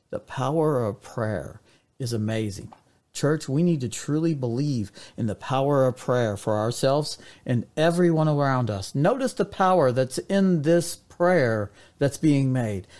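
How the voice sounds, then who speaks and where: On a very clean recording with a silent background, a man with an ordinary speaking voice and fairly high pitch speaks fairly slowly, with lively intonation. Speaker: devotional podcast preacher. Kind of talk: short sermon-style devotional with scripture reading. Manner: earnest, preacherly, addressing listeners as church.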